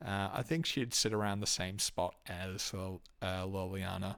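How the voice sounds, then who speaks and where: A man with an Australian accent and a fairly low pitch, in a very clean recording with a silent background. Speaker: video game reviewer. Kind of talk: solo review monologue. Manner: hesitant, many fillers.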